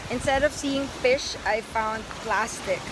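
Speech comes at a fairly slow pace over noticeable background noise, with a dry sound and no echo. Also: woman. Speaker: travel vlogger. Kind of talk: casual vlog chat. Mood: cheerful, earnest appeal. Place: beach. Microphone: phone near.

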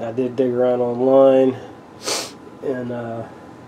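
A man amid light background noise. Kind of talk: casual vlog chat. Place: workshop. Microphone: camera far.

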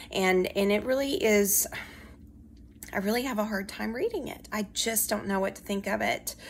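Light background noise sits behind this recording. A woman with an American accent speaks at a moderate pace. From US South, Alabama. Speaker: history professor. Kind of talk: recorded weekly class announcement. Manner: conversational with frequent fillers. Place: home room. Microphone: phone near.

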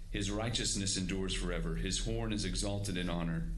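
Over light background noise, a man talks at a moderate pace with very wide pitch swings. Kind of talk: scripture reading and prayer. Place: hall. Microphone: podium.

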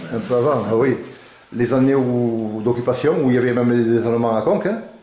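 With audible room echo and very even loudness, the voice moves at a fairly quick pace with ordinary pitch variation. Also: man. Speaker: interviewer and filmmaker. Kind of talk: interviewer questions. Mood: warm, relaxed. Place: home room.

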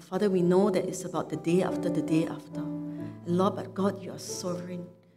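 With clear music in the background, a woman talks at a fairly quick pace in a fairly low pitch, with ordinary pitch variation. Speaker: pastor leading prayer. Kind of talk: spoken prayer. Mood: earnest, reverent. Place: church.

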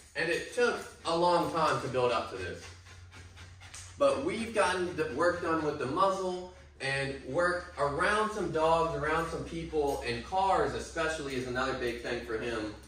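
Lively in intonation, a man talks at a moderate pace amid audible room echo and light background noise. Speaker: dog trainer. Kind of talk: explanatory commentary. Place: hall.

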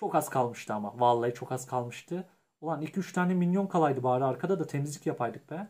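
On a very clean recording with a silent background, a somewhat breathy man speaks at a fairly quick pace with a fairly high pitch and lively intonation. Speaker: gaming youtuber. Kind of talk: gameplay commentary. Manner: animated.

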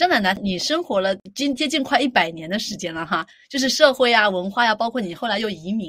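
This woman has a fairly high pitch and very wide pitch swings. She talks at a fairly quick pace with hardly any pauses. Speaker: podcast host. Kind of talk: podcast interview question.

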